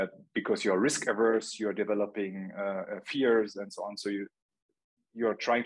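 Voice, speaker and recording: Monotone, flat intonation from a man with a German accent, fairly low in pitch and at a moderate pace. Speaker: marketing agency founder and CEO. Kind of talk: casual interview.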